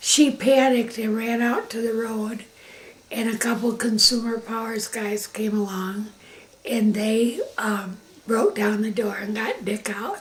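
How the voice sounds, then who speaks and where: A woman with an American accent speaks fairly slowly in a fairly high pitch. Noticeable background noise runs underneath. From Michigan, Grand Rapids area. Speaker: interviewee recounting life story. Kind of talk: family oral history interview.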